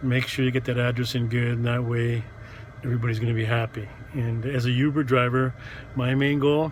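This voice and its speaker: A man speaks in a medium pitch with a monotone, flat intonation and very even loudness. Noticeable background noise is present. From Montreal, Quebec. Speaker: rideshare driver and vlogger. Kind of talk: casual vlog monologue. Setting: in a car. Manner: halting, many fillers.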